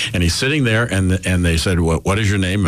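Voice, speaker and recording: Speaking very fast with an American accent, a man uses a very deep, low pitch and ordinary pitch variation. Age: 60s. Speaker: radio host. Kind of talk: casual chat. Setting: studio.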